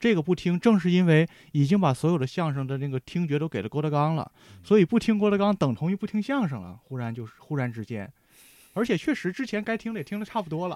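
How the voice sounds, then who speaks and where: A man's high-pitched voice at a very fast pace, with very wide pitch swings and a dry, close sound with no echo, in a very clean recording over a silent background. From Heilongjiang, northeast China. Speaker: writer. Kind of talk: casual chat.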